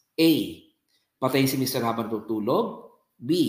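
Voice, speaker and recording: A medium-pitched man at a fairly slow pace, with audible room echo. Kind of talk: talk on faith and media.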